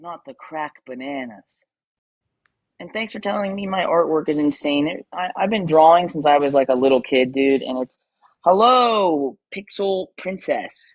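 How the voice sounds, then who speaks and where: A man with an American accent talks at a moderate pace in a fairly high pitch. His loudness swings widely. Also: lively intonation, dry, close sound with no echo. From Western Pennsylvania. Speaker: tattoo artist and streamer. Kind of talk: casual livestream chat. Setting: live stream at home. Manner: casual, filler-heavy.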